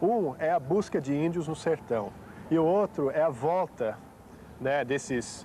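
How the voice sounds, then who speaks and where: A man with a fairly high pitch and a dark, mellow tone talks at a fairly slow pace with ordinary pitch variation. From United States. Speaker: historian. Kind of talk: TV interview. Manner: hesitant, many fillers.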